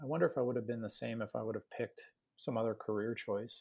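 On a very clean recording with a silent background, a man speaks very fast in an American accent at a fairly low pitch, with vocal fry, a dark, mellow tone and fairly even intonation. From Chicago South Side. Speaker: pediatric cardiologist. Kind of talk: interview. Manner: hesitant, many fillers.

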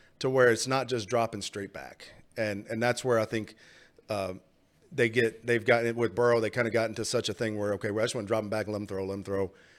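The speaker talks at a very fast pace in an American accent. The intonation stays fairly even. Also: man, medium pitch for a man. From Texas. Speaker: football analyst and podcast host. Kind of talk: casual chat. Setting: studio.

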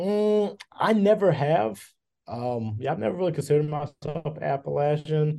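Someone with a Kentucky accent speaks at a moderate pace with lively intonation and a dark, mellow tone. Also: man, fairly high pitch for a man. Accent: Kentucky Southern US. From western Kentucky, Hopkinsville. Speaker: professor of broadcasting, former journalist. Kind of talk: interview conversation. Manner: halting, with repetitions.

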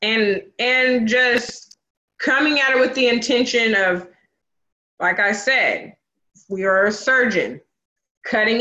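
A woman with an American accent, bright and sharp in tone, at a fairly slow pace with ordinary pitch variation. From US Pacific Northwest, Vancouver, Washington. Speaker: cosmetologist and energy healer. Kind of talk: casual conversation. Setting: video call.

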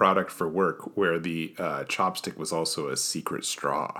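A man speaks in a General American accent at a moderate pace. His tone is bright and sharp. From US. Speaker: podcast host. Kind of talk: casual chat. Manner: dry, joking.

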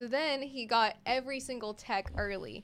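A woman's normal speaking voice, fairly high in pitch, at a moderate pace, on a very clean recording with a silent background. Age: 20s. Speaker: college radio station manager and DJ. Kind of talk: casual chat.

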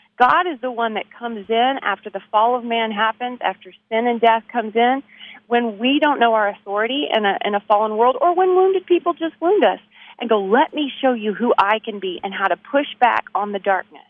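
Speaking fairly quickly, a woman uses a Texan accent. Her fairly high voice has lively intonation. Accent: Texan American. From Texas, Abilene. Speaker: author and musician. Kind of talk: interview.

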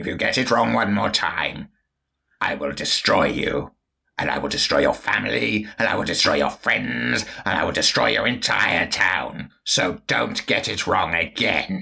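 A man speaks in a put-on character voice, very deep and raspy, at a moderate pace. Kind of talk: comic villain overacting. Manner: sneering, menacing, haughty.

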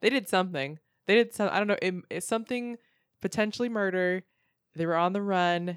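In a very clean recording with a silent background, a woman with an unremarkable speaking voice and medium pitch talks at a fairly quick pace with ordinary pitch variation. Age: 20s. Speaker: stand-up comedian. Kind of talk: casual chat.

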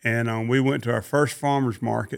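A Southern US accent with fairly even intonation. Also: man. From Mississippi. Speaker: cattle rancher. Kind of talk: interview.

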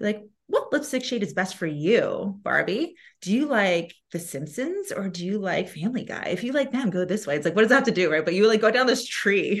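A woman's somewhat breathy, animated voice at a fairly quick pace, with very wide pitch swings, over a quiet background. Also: fairly high pitch for a woman. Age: 30s. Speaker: sales consultant. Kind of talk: casual chat.

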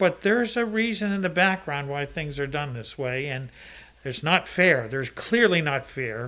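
The man's fairly high voice has a bright, sharp tone and very wide pitch swings. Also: moderate pace. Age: 60s. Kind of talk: casual chat.

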